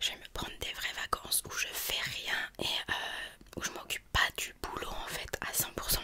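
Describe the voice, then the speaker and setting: Whispering and soft-spoken, a woman goes at a fairly slow pace amid noticeable background noise. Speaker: video creator. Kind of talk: casual vlog chat. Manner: soft close-mic ASMR whisper. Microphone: studio mic.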